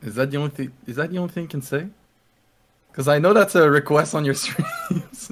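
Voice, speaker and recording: A man speaks with a French accent at a fairly quick pace. His fairly high voice shows ordinary pitch variation. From French Canada. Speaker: DJ and streamer. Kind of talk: casual chat.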